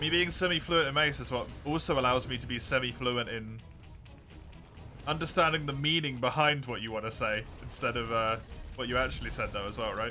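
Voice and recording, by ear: Someone speaks at a fairly quick pace with ordinary pitch variation. Music plays in the background. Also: man, medium pitch for a man.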